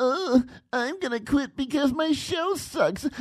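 At a very slow pace, a put-on character voice comes out high-pitched and whiny. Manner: whining, mocking.

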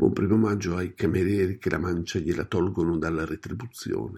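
A man speaks at a fairly quick pace in a very deep, low pitch, somewhat breathy and dark, mellow in tone, with ordinary pitch variation on a very clean recording with a silent background. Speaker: radio host.

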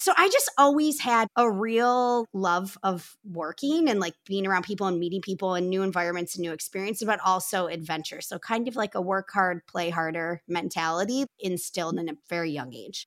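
A woman's medium-pitched voice, an ordinary speaking voice, with lively intonation, a moderate pace and hardly any pauses. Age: 30s. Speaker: company co-founder and president. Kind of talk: interview.

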